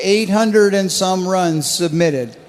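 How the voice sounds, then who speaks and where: A man speaks at a fairly slow pace, high in pitch with ordinary pitch variation. Audible room echo and noticeable background noise surround the recording. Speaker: contest scoreboard presenter. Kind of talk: live commentary. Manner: animated.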